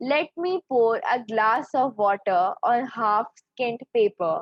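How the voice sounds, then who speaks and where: Her intonation lively and her pitch fairly high, a woman talks with a Pakistani accent. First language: Urdu. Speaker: poet. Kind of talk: poetry reading.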